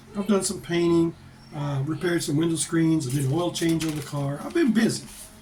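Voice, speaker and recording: A man with an American accent speaks at a fairly quick pace in a high voice, his pitch varying in an ordinary way. Room echo is audible, and background noise is noticeable. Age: 60s. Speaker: vlogger. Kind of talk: casual chat. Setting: home office.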